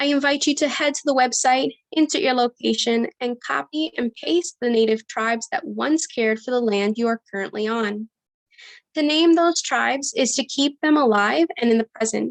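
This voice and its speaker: High-pitched and lively in intonation, a woman speaks with a dry, close sound and no echo. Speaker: nonprofit program coordinator hosting a town hall. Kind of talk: opening remarks at an online town hall. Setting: Zoom video call. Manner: fast.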